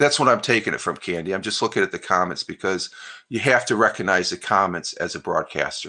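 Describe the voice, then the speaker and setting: Against a quiet background, a man with a New York accent speaks at a fairly low pitch in a bright, sharp tone. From upstate New York, US. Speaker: live streamer, retired Air Force veteran. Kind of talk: casual live-stream chat reading viewer comments. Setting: live stream. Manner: halting, many fillers.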